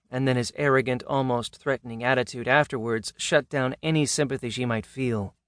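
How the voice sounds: A natural voice is reading. The intonation is fairly even.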